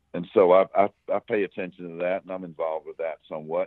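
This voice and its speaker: The speaker uses a Southern US accent at a fairly quick pace. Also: man. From South Carolina. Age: 60s. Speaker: former smuggler. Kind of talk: interview. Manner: halting, repeats words.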